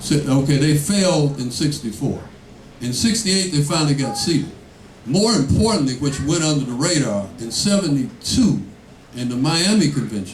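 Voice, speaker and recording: The intonation is lively and the pace moderate. Noticeable background noise and audible room echo fill the recording. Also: man, fairly high pitch for a man. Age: 60s. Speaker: political candidate. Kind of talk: campaign Q&A talk. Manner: animated.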